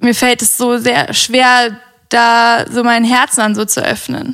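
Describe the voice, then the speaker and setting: A woman talks very slowly in a high voice. Her intonation is flat and monotone. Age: 20s. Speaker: podcast guest. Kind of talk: casual chat.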